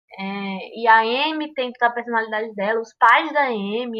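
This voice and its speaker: A woman speaks at a high pitch. She has a strong Cariri accent. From Cariri, Ceará, Brazil. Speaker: podcast guest, film fan. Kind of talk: casual chat.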